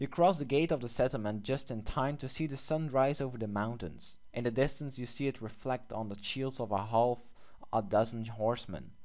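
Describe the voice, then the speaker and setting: Dark and mellow in tone, a man's medium-pitched voice carries a non-native accent. His pace is moderate and his pitch variation ordinary. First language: not English. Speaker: gaming youtuber. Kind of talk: gameplay commentary. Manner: hesitant with fillers; reads game text aloud.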